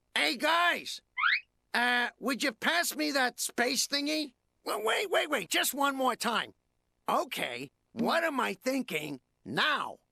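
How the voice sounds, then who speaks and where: A cartoonish character voice at a high pitch and fairly slow pace comes through a very clean recording with a silent background. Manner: playful, silly.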